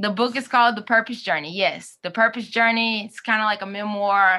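In a Southern US accent, a bright, sharp voice speaks at a moderate pace on a very clean recording with a silent background. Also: woman. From US South, Mississippi. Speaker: life coach and consultant. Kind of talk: casual interview. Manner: conversational, many fillers.

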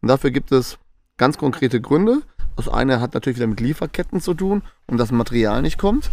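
A man speaks at a very fast pace with lively intonation, vocal fry and a medium pitch. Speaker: podcast co-host. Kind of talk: casual chat. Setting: live in a stadium and pubs in Essen.

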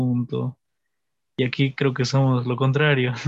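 The speaker is a man. His intonation is monotone and flat. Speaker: podcast host. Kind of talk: casual chat.

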